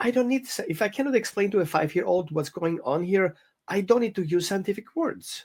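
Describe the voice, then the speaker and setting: A man with a high pitch, a very fast pace, lively intonation and a non-native accent. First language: not English. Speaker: dog trainer. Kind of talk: interview conversation. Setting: podcast. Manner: halting.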